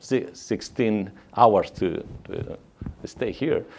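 Speaking at a very slow pace, a man uses lively intonation over a fairly low pitch. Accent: Mexican. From Mexico. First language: Spanish. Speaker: missionary. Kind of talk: church talk. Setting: church. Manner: halting.

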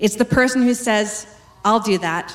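A woman with a Canadian accent and fairly high pitch, against noticeable background noise. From Western Canada. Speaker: pastor. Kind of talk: sermon.

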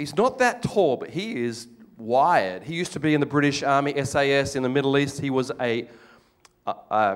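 Speaking at a fairly quick pace in an Australian accent, a man sounds animated, with a fairly high pitch and lively intonation. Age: middle-aged. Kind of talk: testimony.

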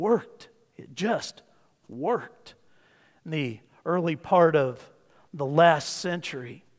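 A man with an American accent speaks in a normal speaking voice at a fairly high pitch, with ordinary pitch variation. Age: 50s. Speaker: pastor. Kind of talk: sermon.

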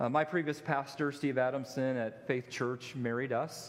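A man uses an unremarkable speaking voice at a moderate pace, his intonation fairly even. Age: 40s. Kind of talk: sermon. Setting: church.

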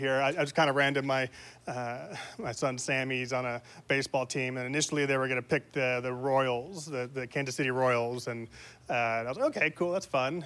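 At a fairly quick pace, a man talks at medium pitch. The recording is very clean, with a silent background. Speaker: preacher. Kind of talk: sermon. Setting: church. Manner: fast talker; excitable.

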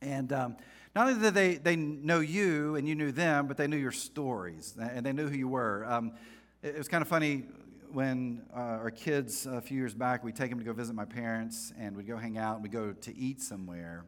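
Using lively intonation, a man with an American accent talks at a moderate pace and a medium pitch. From North Carolina, US South. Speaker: pastor. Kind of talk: sermon. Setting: church with congregation. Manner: casual, conversational, humorous.

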